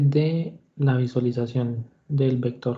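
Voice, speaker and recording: A man's somewhat breathy voice at a very slow pace. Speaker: university lecturer. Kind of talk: online class lecture. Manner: hesitant fillers.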